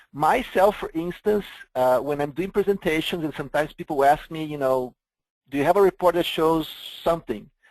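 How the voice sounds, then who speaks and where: Against a quiet background, a man with a Brazilian accent speaks at a fairly quick pace, with a fairly high pitch and ordinary pitch variation. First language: Portuguese. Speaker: software vendor presenter. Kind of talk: webinar product presentation.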